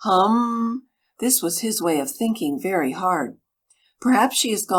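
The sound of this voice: Nothing stirs in the background while someone reads in an unforced voice.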